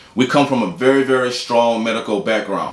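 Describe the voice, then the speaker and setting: With audible room echo and noticeable background noise, a man of medium pitch talks at a very fast pace with fairly even intonation. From Houston, Texas. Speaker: doctor and video blogger. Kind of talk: casual vlog talk to camera. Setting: office.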